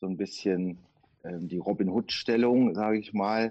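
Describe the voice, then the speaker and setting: Fairly even in intonation, a man speaks in a fairly low voice. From Duisburg, Ruhr area, Germany. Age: 50s. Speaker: tax auditor. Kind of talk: interview. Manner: hesitant fillers.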